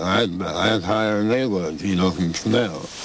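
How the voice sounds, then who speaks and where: Noticeable background noise sits behind this recording. A man with a very deep, low pitch talks at a moderate pace. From Missouri, USA. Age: 60s. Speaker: former sideshow performer. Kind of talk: interview answer.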